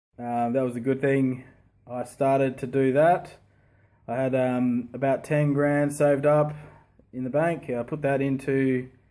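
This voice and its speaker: A man with an Australian accent has a dark, mellow tone. He speaks at a fairly slow pace with monotone, flat intonation. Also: medium pitch for a man. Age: 30s. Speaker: property investor. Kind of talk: casual talk to camera.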